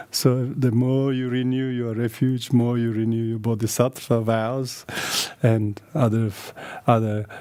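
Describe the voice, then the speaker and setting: Speaking with a Tibetan accent, a man at a medium pitch goes at a fairly slow pace in a monotone, flat intonation. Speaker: Buddhist teacher. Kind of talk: dharma teaching. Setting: video call. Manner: halting.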